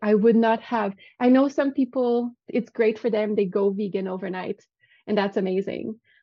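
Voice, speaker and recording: Fairly high-pitched woman's voice in a Quebec accent, fairly even intonation at a moderate pace. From Quebec City, Canada. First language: French. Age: 30s. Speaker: vegan virtual assistant. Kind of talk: casual interview chat.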